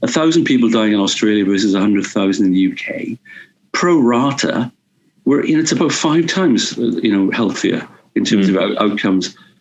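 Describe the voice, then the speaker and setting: Speaking fairly quickly with lively intonation, a man with a Welsh accent talks at a medium pitch. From Wales. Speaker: urban policy advisor. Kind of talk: interview answer.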